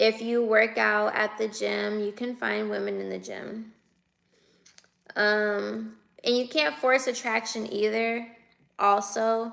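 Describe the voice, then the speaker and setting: A woman with an American accent, very slow, with long, frequent pauses. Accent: West Coast US, sounds like the Bay Area. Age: 20s. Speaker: livestreamer. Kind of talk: casual livestream chat reading viewer comments. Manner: casual, conversational.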